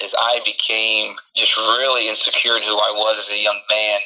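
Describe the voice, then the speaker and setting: A man talks while background noise is clearly audible. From Houston, Texas (Mexican-American family). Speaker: pastor. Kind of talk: interview with personal testimony.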